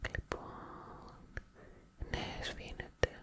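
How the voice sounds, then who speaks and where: A woman is speaking. She is whispering. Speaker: ASMR creator playing a best friend. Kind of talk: ASMR roleplay, friend showing stationery. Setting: ASMR mic, close-up personal attention. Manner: soft, whispering. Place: home room. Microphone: studio mic.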